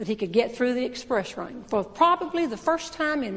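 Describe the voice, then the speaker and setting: A woman with a Southern US accent speaks at a high pitch with lively intonation. Noticeable background noise can be heard. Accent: Southern American. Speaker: humorist and motivational speaker. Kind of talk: stand-up storytelling to a live audience. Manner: humorous, well-timed delivery.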